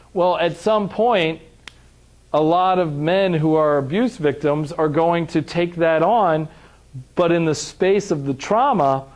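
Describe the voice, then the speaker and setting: A man with a fairly high voice sounds animated, his intonation lively. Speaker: trauma and recovery trainer. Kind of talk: lecture. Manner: loud.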